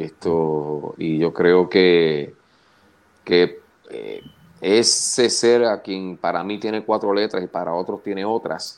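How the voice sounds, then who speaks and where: Very deep and low in pitch, a man speaks at a very slow pace. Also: ordinary pitch variation. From Puerto Rico (Canóvanas area). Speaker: wrestling commentator. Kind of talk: casual chat. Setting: video call.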